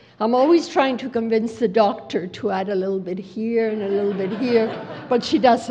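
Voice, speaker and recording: A woman speaks. The room echo is audible. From Mexico City. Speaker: education program director. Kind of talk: conference talk.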